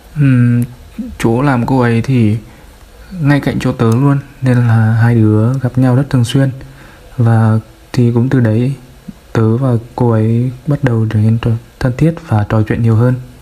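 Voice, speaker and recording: A man speaks at a medium pitch and a fairly slow pace, in a flat monotone with very even loudness. Long, frequent pauses break up his speech over noticeable background noise. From Vinh, Nghe An, north-central Vietnam. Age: 20s. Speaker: listener sharing a personal story. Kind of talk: personal storytelling interview.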